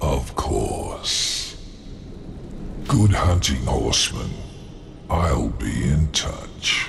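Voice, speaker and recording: A man speaks in a put-on character voice, very deep and low. He talks very slowly over clear background noise. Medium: machinima. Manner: smooth, condescending.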